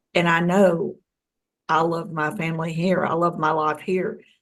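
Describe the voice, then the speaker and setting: The speech goes at a fairly slow pace. It comes in a plain, everyday voice. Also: woman. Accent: American. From US South. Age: 60s. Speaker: UFO experiencer. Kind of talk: interview.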